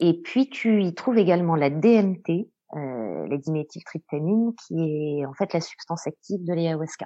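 A woman talks at a fairly slow pace with lively intonation. She has a normal speaking voice. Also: fairly low pitch for a woman. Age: young. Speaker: psychotherapist. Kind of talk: explanatory interview.

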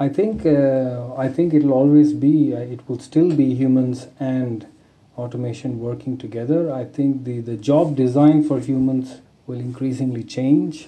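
A man with a medium pitch speaks at a fairly slow pace. His intonation is fairly even, and there is audible room echo. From India, Bangalore. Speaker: engineer at a truck maker. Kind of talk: interview. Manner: halting, many fillers.

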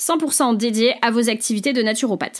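Very clean and silent in the background, the recording captures a woman with a high pitch. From French Basque Country, Saint-Jean-de-Luz. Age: 30s. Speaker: business coach and podcast host. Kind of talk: solo podcast monologue. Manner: chatty, talkative.

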